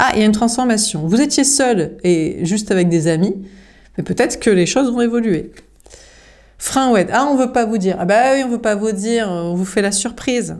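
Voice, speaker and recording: Audible room echo surrounds the recording. A woman speaks at a moderate pace with lively intonation. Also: fairly high pitch for a woman. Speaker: tarot card reader. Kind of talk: tarot reading. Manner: halting with fillers.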